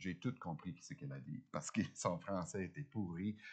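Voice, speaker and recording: A man's voice over a quiet background. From Ontario, Canada. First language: English (speaking French). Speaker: guest preacher. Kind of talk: sermon. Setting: church. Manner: halting, many hesitations.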